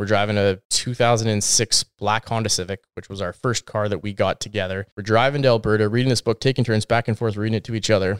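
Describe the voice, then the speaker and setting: A man with a Western Canadian accent talks at a very fast pace with hardly any pauses, his fairly low voice keeping fairly even intonation in a dry, close sound with no echo and a very clean recording with a silent background. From British Columbia, Canada. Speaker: real estate agent. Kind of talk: casual chat.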